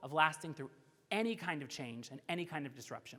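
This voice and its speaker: A man with an American accent, a bright, sharp tone and ordinary pitch variation. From Florida. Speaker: keynote speaker. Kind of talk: keynote speech with Q&A. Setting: stage with audience. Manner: fast.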